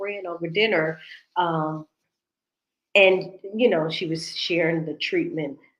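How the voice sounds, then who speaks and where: This woman has an unremarkable speaking voice with a fairly low pitch. Her intonation stays fairly even. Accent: American. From United States. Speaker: talk show host. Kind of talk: casual chat. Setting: livestream.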